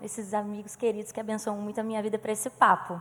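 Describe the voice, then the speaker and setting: Words pour out of a woman at a very fast pace. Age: 20s. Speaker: singer and musical theatre actress. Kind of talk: conversation.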